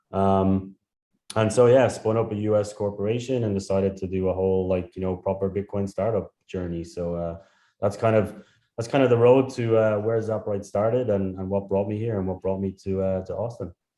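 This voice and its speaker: With a strong Irish accent, a man speaks fairly quickly in a fairly low voice. His tone is dark and mellow, over a quiet background. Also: fairly even intonation. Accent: thick Irish. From Ireland. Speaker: startup founder. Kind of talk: interview.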